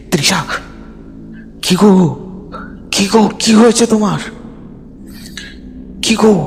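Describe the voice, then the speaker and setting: A shouted, put-on character voice at a fairly high pitch, with clear background noise. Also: moderate pace. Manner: shouting in panic.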